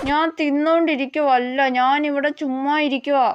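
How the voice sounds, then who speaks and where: Using a put-on character voice, a woman mumbles at a fairly slow pace with a high pitch. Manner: speaking without opening mouth, mumbling.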